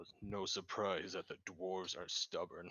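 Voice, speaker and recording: A man puts on a character voice with a fairly low pitch at a moderate pace. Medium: actual play.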